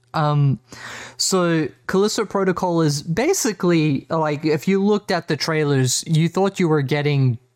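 Recorded very cleanly against a silent background, with a dry, close sound and no echo, a man with an Australian accent speaks fairly slowly at a fairly high pitch and ordinary pitch variation. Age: 30s. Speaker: gaming podcast host. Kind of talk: casual chat.

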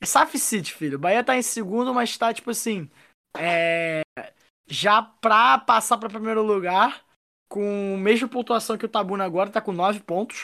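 At a moderate pace, a woman speaks in a fairly high voice with a bright, sharp tone and ordinary pitch variation. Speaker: football podcast co-host. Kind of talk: casual chat.

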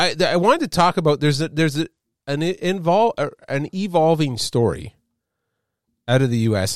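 A man with a Canadian accent and very wide pitch swings, on a very clean recording with a silent background. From Canada. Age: 50s. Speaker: podcast host. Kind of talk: casual chat. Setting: studio. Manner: halting.

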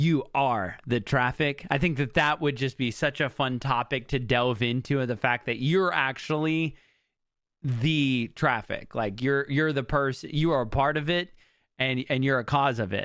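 An ordinary speaking voice moves at a fairly slow pace, with ordinary pitch variation and very even loudness. The recording is very clean, with a silent background. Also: man, medium pitch for a man. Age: 30s. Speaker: podcast host. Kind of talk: solo monologue.

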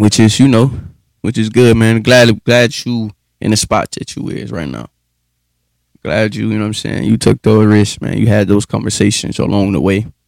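A man at a moderate pace, fairly low in pitch with ordinary pitch variation, in a dry, close sound with no echo. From US, Pike County. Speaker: podcast co-host. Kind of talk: casual chat.

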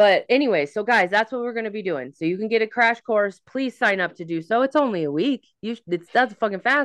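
Speaking fairly quickly with hardly any pauses, a woman uses an ordinary speaking voice, fairly high in pitch, with lively intonation. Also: quiet background. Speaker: psychic medium and tarot reader. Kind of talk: casual astrology forecast chat.

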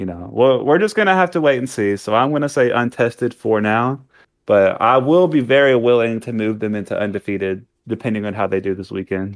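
An unremarkable speaking voice, this man talks at medium pitch and a fairly quick pace with lively intonation. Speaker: sports podcast co-host. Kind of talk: casual chat.

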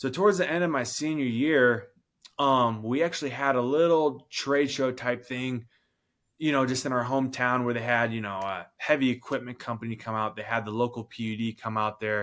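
A man with a normal speaking voice and an American accent talks at medium pitch with ordinary pitch variation, in a very clean recording with a silent background. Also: moderate pace. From rural Washington State, US. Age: 20s. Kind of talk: interview. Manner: casual.

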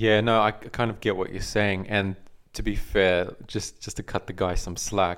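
This is a man with an American accent. The recording is very clean, with a silent background. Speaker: podcast co-host. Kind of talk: casual chat. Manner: uses filler words often.

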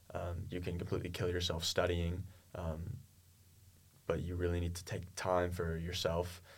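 A man speaks at a moderate pace with a very deep, low pitch and flat, monotone intonation. His voice is somewhat breathy, with long, frequent pauses and audible room echo. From US, Oklahoma (Tulsa). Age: 20s. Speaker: university student tennis player. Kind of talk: interview.

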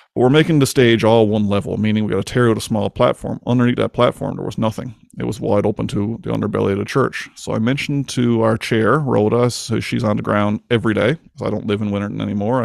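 Speaking with a Newfoundland accent, a man talks at a very fast pace with hardly any pauses. His pitch is fairly low and his intonation fairly even. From Newfoundland, Canada. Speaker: podcast host. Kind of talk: casual interview chat. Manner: fast talker.

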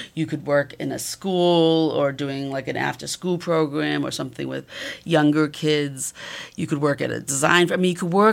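Ordinary pitch variation and a moderate pace mark this speech in a Massachusetts accent, recorded very cleanly with a silent background. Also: woman. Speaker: photography professor. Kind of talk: interview.

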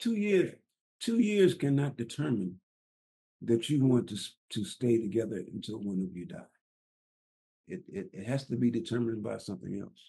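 A dark, mellow, somewhat breathy voice at a moderate pace, with very wide pitch swings, big swings in loudness, and long, frequent pauses. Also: man, medium pitch for a man. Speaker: podcast co-host, construction engineer. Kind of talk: marriage advice podcast conversation. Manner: halting, repeats words.

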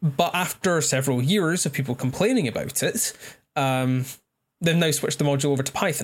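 With a Scottish accent, a man talks at a fairly quick pace in a fairly high, somewhat breathy voice with ordinary pitch variation. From Scotland. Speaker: astrophysics graduate, incoming PhD student. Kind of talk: casual chat.

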